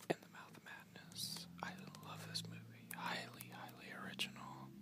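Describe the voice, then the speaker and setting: Everything is whispered. The speed stays moderate. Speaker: collector showing DVDs. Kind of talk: ASMR soft-spoken talk with page turning. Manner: soft-spoken, whispered. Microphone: phone near.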